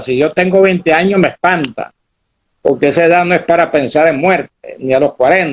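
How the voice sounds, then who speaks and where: This man's voice sits high in pitch. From Venezuela, Maracaibo. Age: 70s. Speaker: historian, former university rector. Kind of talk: interview.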